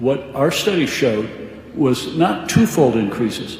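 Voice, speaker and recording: A man with a fairly high voice speaks over noticeable background noise, and the room echo is easy to hear. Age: 70s. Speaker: physician. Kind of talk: radio interview.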